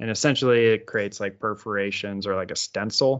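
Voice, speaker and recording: A man's medium-pitched, unremarkable speaking voice at a fairly quick pace. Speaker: podcast co-host. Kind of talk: casual banter. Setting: home office.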